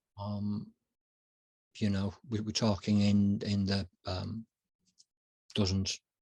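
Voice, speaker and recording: Speaking with a Yorkshire accent, a man uses a fairly low pitch and a dark, mellow tone, in monotone, flat intonation. His very slow delivery has long, frequent pauses, and the sound is dry and close with no echo. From West Yorkshire, England. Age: 40s. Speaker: consultant and writer. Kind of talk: interview. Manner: halting.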